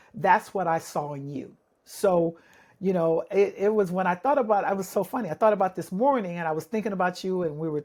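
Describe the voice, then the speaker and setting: A woman has an unremarkable speaking voice at a medium pitch. She talks at a fairly quick pace with lively intonation. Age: 60s. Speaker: basketball referee supervisor and podcast host. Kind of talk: casual interview chat.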